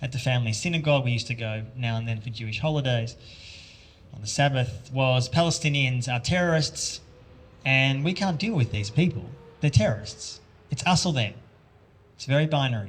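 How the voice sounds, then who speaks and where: A man with an Australian accent, medium pitch and ordinary pitch variation, at a fairly quick pace with long, frequent pauses. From Australia, Melbourne. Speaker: journalist and author. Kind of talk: talk to an audience.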